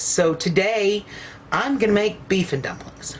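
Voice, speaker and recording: A woman with an Ozark accent against noticeable background noise. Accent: Southern US, Ozark. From US South, Ozark Mountains of Arkansas. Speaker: cooking channel host. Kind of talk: cooking tutorial. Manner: casual, folksy.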